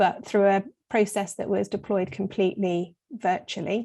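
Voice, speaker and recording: Against a quiet background, a woman with an English accent speaks in a dark, mellow tone at medium pitch, her intonation fairly even. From south of England. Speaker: recruitment business leader. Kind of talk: interview.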